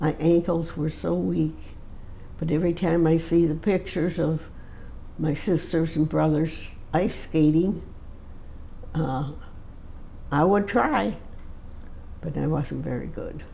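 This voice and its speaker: A woman with an American accent speaks at a very slow pace with long, frequent pauses, in a very deep, low pitch and a dark, mellow tone. Her voice carries vocal fry, and audible room echo is present. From Michigan, US Midwest. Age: 80s+. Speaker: centenarian interviewee. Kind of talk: casual interview. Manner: halting.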